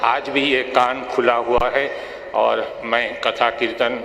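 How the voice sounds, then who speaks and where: A man speaks at very even loudness, with audible room echo and noticeable background noise. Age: 60s. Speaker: cancer survivor giving religious testimony. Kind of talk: testimony.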